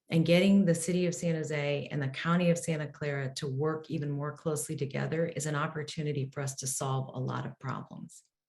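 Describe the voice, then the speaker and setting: A woman's very deep, low, somewhat breathy voice at a fairly quick pace, with fairly even intonation and hardly any pauses. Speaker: mayoral candidate. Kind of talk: candidate forum answer.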